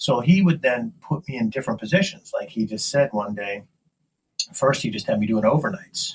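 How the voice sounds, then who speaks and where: A man with an American accent speaks at a medium pitch. His voice is somewhat breathy and moves in very wide pitch swings. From western Pennsylvania, near Pittsburgh. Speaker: marketing agency owner and podcaster. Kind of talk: podcast interview.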